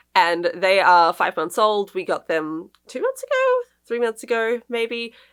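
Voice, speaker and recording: With an Australian accent, a woman speaks at a fairly slow pace, her fairly high pitch showing ordinary variation. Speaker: book vlogger. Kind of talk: casual vlog chat.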